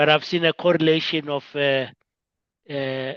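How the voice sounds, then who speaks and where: At a fairly slow pace, a man of medium pitch speaks with fairly even intonation in a dry, close sound with no echo. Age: 60s. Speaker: discussion moderator. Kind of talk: casual group discussion. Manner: hesitant, many fillers.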